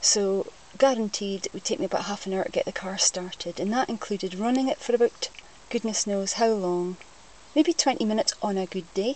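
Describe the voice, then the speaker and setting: A fairly quick woman's voice with a Scottish accent, fairly high pitch and ordinary pitch variation. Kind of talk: casual talk to camera.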